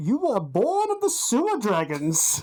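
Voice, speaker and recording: Someone uses a put-on character voice with a fairly high pitch, delivered at a fairly slow pace. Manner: dramatic, theatrical.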